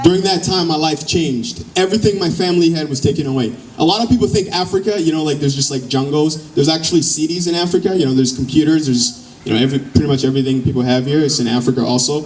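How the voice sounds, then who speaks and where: Over noticeable background noise, a man with a fairly high pitch talks very fast, with ordinary pitch variation and hardly any pauses. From Democratic Republic of the Congo. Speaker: educator and motivational speaker. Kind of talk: personal story told to a live audience.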